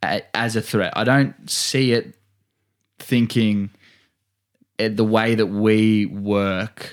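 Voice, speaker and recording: A man with an Australian accent at a very slow pace and fairly low pitch, intonation fairly even, long, frequent pauses, on a very clean recording with a silent background. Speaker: podcast co-host. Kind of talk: casual chat.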